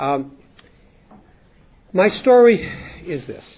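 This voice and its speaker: Here a man speaks with a Canadian accent. His voice is somewhat breathy. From central Canada (Winnipeg, Manitoba). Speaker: 12-step group speaker. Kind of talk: testimony. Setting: workshop with live audience. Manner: fast; halting, many repeated words.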